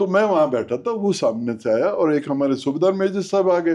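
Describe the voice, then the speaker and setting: With a dark, mellow tone and a high pitch, a man talks at a moderate pace with lively intonation and very even loudness. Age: 80s+. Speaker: army veteran, partition survivor. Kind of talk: interview answer, storytelling.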